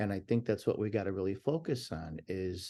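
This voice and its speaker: The man's voice has a dark, mellow tone, and the background is quiet. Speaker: talent agent and prison reform advocate. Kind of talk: interview.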